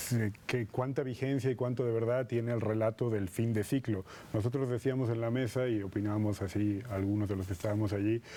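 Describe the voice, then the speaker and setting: Speaking at a fairly quick pace with a slight Madrid accent, a man uses a medium pitch and a dark, mellow tone, with fairly even intonation and very even loudness. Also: hardly any pauses. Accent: slight Spanish (Madrid) tinge. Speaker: politician and political scientist. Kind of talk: TV interview.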